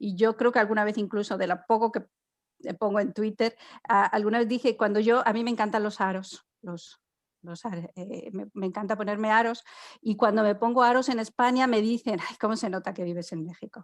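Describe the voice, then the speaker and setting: A woman speaks at a fairly quick pace and a fairly high pitch with fairly even intonation. Her loudness swings widely against a quiet background. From Spain. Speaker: immigrant podcast guest. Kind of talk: casual chat. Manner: halting, many false starts.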